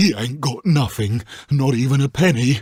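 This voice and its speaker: In a London accent, a man does a put-on character voice at medium pitch and a moderate pace. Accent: rough London street. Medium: read story. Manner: leering, wheedling.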